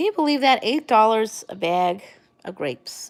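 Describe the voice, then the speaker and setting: Speaking at a fairly quick pace, a woman has an American accent and a medium pitch. Her voice moves in very wide pitch swings. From New York, Long Island. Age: 30s. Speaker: livestream vlogger. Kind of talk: casual live chat. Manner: rambling, hesitant with fillers.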